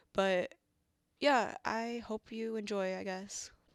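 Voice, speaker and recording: The recording is very clean with a silent background, and a woman's intonation is monotone and flat. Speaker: gaming YouTuber. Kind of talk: casual vlog talk.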